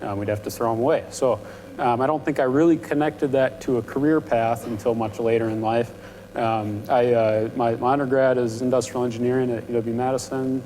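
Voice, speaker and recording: A man mumbles at a fairly quick pace in a medium-pitched voice with fairly even intonation. Noticeable background noise sits behind him. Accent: American. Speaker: panel speaker, industrial engineer. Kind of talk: panel talk to students. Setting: university event with audience. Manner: prone to mumbling.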